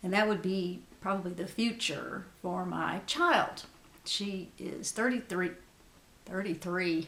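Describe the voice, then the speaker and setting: A woman of medium pitch speaks at a very slow pace with fairly even intonation as noticeable background noise plays. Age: 60s. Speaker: beauty vlogger. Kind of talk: casual chat.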